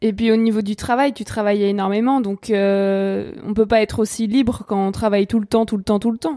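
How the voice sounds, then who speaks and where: A woman speaks with a fairly high pitch and a dark, mellow tone. She barely pauses, and her intonation is fairly even. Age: 20s. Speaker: podcast host and journalist. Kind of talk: scripted narration; interview.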